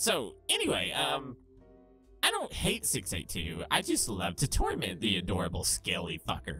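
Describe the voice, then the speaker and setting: Over clear music in the background, a low-pitched put-on character voice moves at a fairly slow pace with hardly any pauses. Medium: solo performance. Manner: sassy, flamboyant, sarcastic, brash.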